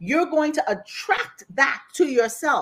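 With a Bahamian accent, a woman speaks at a moderate pace. Her tone is animated. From Bahamas, Grand Bahama. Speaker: life coach. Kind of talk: casual chat. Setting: remote, on vacation.

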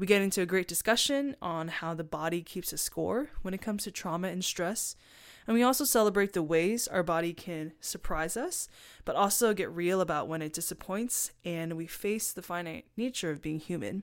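In a very clean recording with a silent background, an ordinary speaking voice talks at a moderate pace with ordinary pitch variation. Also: woman, medium pitch for a woman. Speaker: podcast host. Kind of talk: casual interview conversation.

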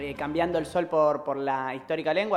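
A plain, everyday voice from a man, fairly high in pitch, with ordinary pitch variation and a fairly quick pace. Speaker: community radio co-host. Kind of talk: casual chat. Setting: studio.

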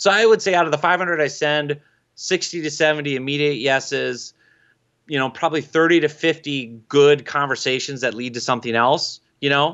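A man with an Upper Midwest accent speaks fairly quickly in a fairly high pitch, with ordinary pitch variation. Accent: Upper Midwest American. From Minnesota. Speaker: LinkedIn marketing expert and author. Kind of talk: interview. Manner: animated.

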